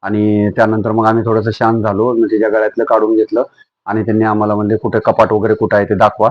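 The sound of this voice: A man talks fast in a monotone, flat delivery. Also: fairly low pitch for a man.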